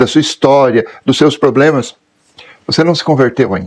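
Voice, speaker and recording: At a moderate pace, a man uses an ordinary speaking voice with a medium pitch and ordinary pitch variation. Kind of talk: catechetical talk.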